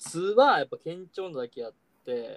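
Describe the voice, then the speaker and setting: With a dry, close sound and no echo, a man speaks at a fairly slow pace. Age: 20s. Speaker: podcast co-host. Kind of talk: casual chat.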